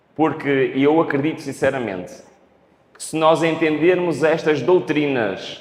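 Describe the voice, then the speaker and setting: Through audible room echo, a man with a fairly high pitch talks at a fairly slow pace with ordinary pitch variation. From Portugal. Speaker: preacher. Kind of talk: sermon. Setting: church. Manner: speeds up when excited.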